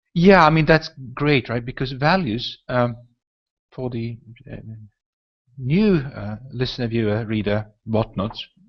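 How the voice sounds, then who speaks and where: A man with a Swedish accent speaks slowly at a medium pitch, leaving long, frequent pauses. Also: lively intonation. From northern Sweden. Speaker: podcast host. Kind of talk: casual chat. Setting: video call. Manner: talkative.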